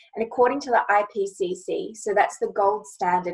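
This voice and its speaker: A woman with an Australian accent, fairly quick in pace, with ordinary pitch variation. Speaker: lawyer and panel chair. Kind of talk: panel moderation, opening remarks. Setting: online panel.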